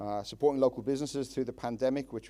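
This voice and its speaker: With an Irish accent, a man speaks in a dark, mellow tone. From Ireland. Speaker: town councillor. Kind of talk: public speech. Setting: public meeting with audience. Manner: hesitant, many fillers.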